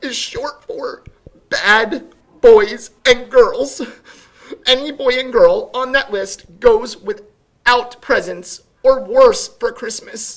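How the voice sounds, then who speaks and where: It is a put-on character voice pitched high. The words come at a very slow pace. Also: female-sounding voice. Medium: read story. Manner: fretful, fussy.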